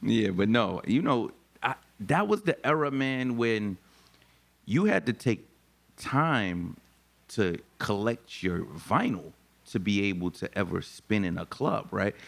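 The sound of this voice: Slow, lively speech from a man, with vocal fry and a fairly low pitch.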